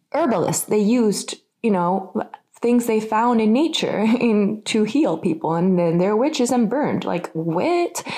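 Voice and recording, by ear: A woman's medium-pitched, dark, mellow voice with an American accent, slow pace, lively intonation and few pauses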